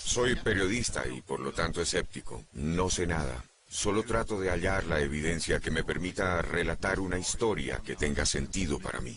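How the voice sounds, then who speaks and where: Over noticeable background noise, a man with a very deep, low voice speaks at a moderate pace with lively intonation and hardly any pauses. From United States. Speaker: journalist. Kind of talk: documentary interview.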